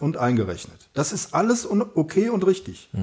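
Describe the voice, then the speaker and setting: A man's voice with very wide pitch swings. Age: 50s. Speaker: author and amateur runner. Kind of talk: casual interview.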